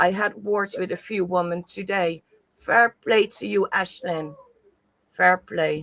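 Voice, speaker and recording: Speaking at a very slow pace, a woman with a Dutch accent has a medium pitch and ordinary pitch variation. The sound is dry and close, with no echo. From Netherlands. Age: middle-aged. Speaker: YouTube live-stream host. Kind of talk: casual chat. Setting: live stream.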